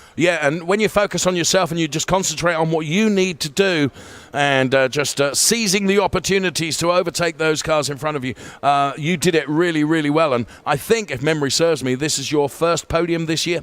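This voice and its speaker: A man with an unremarkable speaking voice at a fairly quick pace, with ordinary pitch variation. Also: fairly high pitch for a man. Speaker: sim racing broadcast host. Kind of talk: post-race interview.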